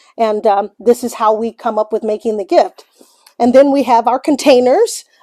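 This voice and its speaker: Speaking at a moderate pace in an American accent, a woman has a fairly high pitch, a dark, mellow tone and fairly even intonation, recorded with a dry, close sound and no echo. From US Midwest, St. Louis. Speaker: small business owner. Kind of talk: guided shop tour. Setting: shop studio. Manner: casual, with filler words.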